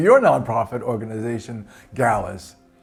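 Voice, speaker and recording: A man with lively intonation over background music. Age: 60s. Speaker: cancer survivor and food bank client. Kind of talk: testimony.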